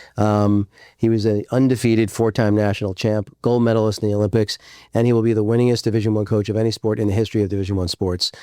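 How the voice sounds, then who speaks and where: A man with a fairly low pitch speaks very fast in a dark, mellow, raspy voice, his delivery monotone and flat, on a very clean recording with a silent background. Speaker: entrepreneur and podcast host. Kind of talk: interview conversation.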